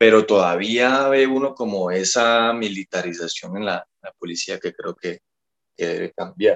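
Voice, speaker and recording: The delivery is fairly slow with a plain, everyday voice and ordinary pitch variation, in dry, close sound with no echo. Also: man, medium pitch for a man, big swings in loudness. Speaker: political commentator guest. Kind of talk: casual podcast discussion. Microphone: connection dropped, froze.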